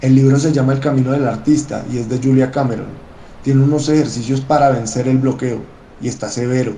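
The voice is dark and mellow, somewhat breathy, and flat in intonation. It moves at a fairly quick pace with audible room echo. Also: man, medium pitch for a man. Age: 30s. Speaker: historian and songwriter. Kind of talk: personal essay read aloud.

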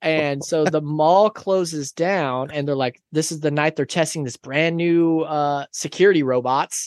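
A man with an unremarkable speaking voice talks at a fairly slow pace and fairly high pitch, his intonation fairly even and the sound dry and close with no echo. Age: 30s. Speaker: podcast guest. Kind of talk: casual chat.

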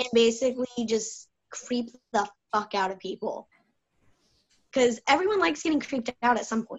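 Speaking with an American accent, a woman uses lively intonation at a fairly high pitch and a moderate pace, with long, frequent pauses. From US South. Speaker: wrestling fan. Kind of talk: casual group chat. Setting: video call.

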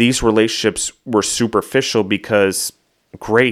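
An unremarkable speaking voice moves at a moderate pace with fairly even intonation. The recording is very clean, with a silent background. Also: man. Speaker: food entrepreneur and podcaster. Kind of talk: casual interview.

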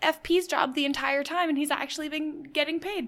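A woman speaks at an extremely high pitch with an animated tone. Her pitch varies in an ordinary way. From Canada. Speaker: podcast co-host. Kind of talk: casual recap chat.

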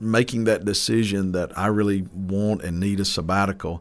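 A man's fairly low voice with ordinary pitch variation, in an eastern North Carolina accent. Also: quiet background. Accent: eastern North Carolina Southern US. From eastern North Carolina (Mount Olive). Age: 30s. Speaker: pastor. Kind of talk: casual interview. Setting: studio.

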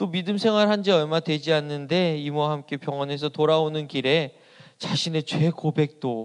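The recording has a dry, close sound with no echo and a quiet background. A man speaks at a moderate pace in a fairly high pitch with ordinary pitch variation. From South Korea, Asan, South Chungcheong. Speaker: pastor. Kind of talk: sermon. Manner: hesitant fillers.

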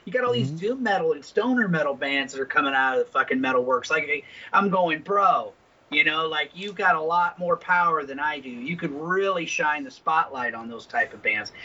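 Noticeable background noise sits behind a man with a high pitch. He talks at a fairly quick pace with lively intonation. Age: 50s. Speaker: podcast co-host. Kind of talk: casual profane banter. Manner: animated, hesitant with fillers.

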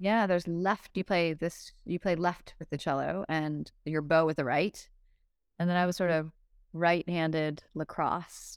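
Her voice fairly low in pitch, a woman speaks at a fairly slow pace. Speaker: investor and entrepreneur. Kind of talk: casual interview chat. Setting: podcast recording. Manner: animated, conversational.

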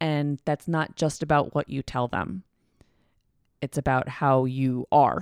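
Against a very clean recording with a silent background and a dry, close sound with no echo, a woman with an American accent speaks at a very slow pace with long, frequent pauses, a very deep, low pitch and ordinary pitch variation. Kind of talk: casual chat about mental health. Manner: halting, stutters sometimes.

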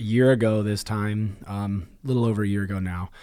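With a Midwestern American accent, a man with a fairly low pitch talks at a moderate pace with ordinary pitch variation, recorded very cleanly against a silent background. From Indiana, Marion. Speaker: gym owner and podcast co-host. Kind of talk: casual chat.

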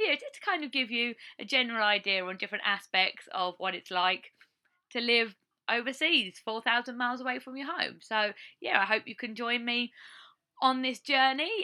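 Her voice is high-pitched and bright and sharp in tone, the woman using ordinary pitch variation. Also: moderate pace. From England, Essex. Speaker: podcast host. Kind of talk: casual monologue. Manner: casual, unscripted.

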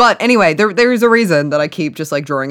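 Speaking very fast in an animated tone, a woman with an Australian accent swings her pitch very widely on a very clean recording with a silent background. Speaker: science podcast co-host and neuroscientist. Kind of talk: casual comedic science chat. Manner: animated, joking, swears often.

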